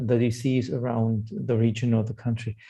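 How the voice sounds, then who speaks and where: The voice has a dark, mellow tone and sounds somewhat breathy. It moves at a moderate pace in a German accent. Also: man. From Germany. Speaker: psychosocial hospital provider CEO. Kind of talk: webinar discussion.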